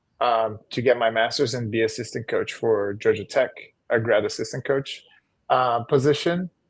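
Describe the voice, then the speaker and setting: Somewhat breathy, the speaker talks at a moderate pace with a Portuguese accent and ordinary pitch variation against a quiet background. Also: man, medium pitch for a man. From northeastern Brazil, Maceió. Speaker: volleyball coach and former pro player. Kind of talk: podcast interview.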